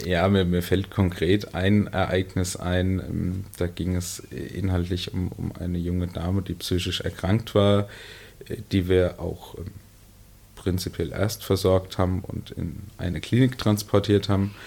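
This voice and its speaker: Very deep and low in pitch, a man speaks at a very slow pace in a flat monotone. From Lower Franconia, Bavaria (Miltenberg district). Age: 30s. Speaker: emergency medical services manager. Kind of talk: interview. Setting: studio.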